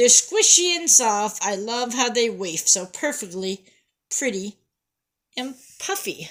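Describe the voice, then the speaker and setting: Using a put-on character voice, a woman speaks at a fairly high pitch in a raised, projected voice. She moves at a fairly slow pace with long, frequent pauses. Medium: read story. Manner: sing-song, fussy.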